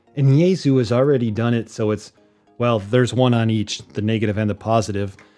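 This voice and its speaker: Over faint background music, a man speaks at a very fast pace with ordinary pitch variation. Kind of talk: tutorial. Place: home room.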